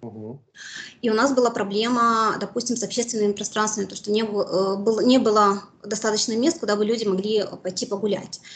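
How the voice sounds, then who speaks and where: Her voice is somewhat breathy as this woman speaks at a fairly quick pace. Her intonation stays fairly even. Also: fairly high pitch for a woman. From Mariupol, Ukraine; Ukraine. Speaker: war survivor, former civic activist; interviewee. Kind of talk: interview testimony. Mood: serious, recounting hardship. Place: home room. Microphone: video call.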